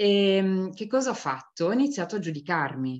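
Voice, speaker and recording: A woman's voice with very wide pitch swings. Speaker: stress and burnout coach. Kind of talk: talk to an online audience. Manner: soft, gentle.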